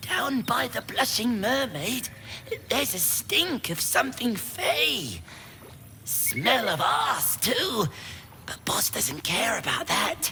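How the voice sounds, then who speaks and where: Using a put-on character voice at a fairly high pitch with very wide pitch swings, the speaker goes at a very slow pace over clear background noise. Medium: video game. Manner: blunt.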